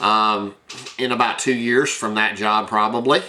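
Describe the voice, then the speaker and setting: Somewhat slow male speech, with clear background noise behind it. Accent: Tennessee. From US South, rural Tennessee. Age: 60s. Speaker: high school science teacher and vlogger. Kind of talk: casual personal bio monologue. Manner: halting, many fillers.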